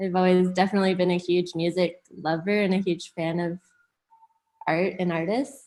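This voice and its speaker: With a Canadian accent, a woman speaks in an ordinary speaking voice at a medium pitch. Her pace is moderate and her intonation fairly even. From Hamilton, Ontario, Canada. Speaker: music industry manager. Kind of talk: casual interview chat.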